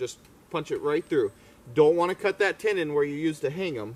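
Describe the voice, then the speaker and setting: A loud man talks with lively intonation. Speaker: hunter. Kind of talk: outdoor tutorial. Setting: outdoors.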